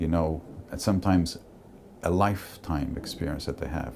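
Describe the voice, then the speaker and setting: Very deep and low, this man's voice has a dark, mellow tone, vocal fry and ordinary pitch variation. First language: Portuguese. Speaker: cruise industry executive. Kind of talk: interview testimony. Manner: conversational, somewhat halting.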